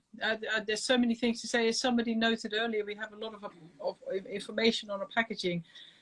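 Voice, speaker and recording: Someone speaks very fast with a Dutch accent. The loudness swings widely. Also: woman, fairly high pitch for a woman. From Netherlands. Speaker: chocolate maker. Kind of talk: casual chat. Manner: animated.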